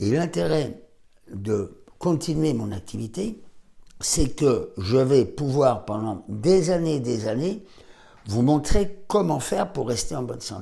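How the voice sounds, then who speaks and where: Speaking at a very slow pace, a man with a medium pitch and a dark, mellow, somewhat breathy tone moves through very wide pitch swings. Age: 70s. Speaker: doctor. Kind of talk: health advice talk to camera.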